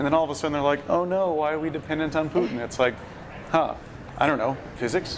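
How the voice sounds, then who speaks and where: A man talks at a very fast pace in a fairly high pitch, with fairly even intonation. Long, frequent pauses break his speech, and there is noticeable background noise. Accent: American. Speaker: bitcoin industry executive. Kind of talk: casual chat. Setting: live stream at a festival.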